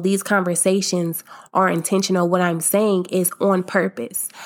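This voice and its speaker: In an American accent, a woman with a plain, everyday voice speaks at a medium pitch and moderate pace with ordinary pitch variation, on a very clean recording with a silent background. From US Midwest (Akron, Ohio). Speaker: podcast host. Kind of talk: casual monologue. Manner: upbeat, laughs often.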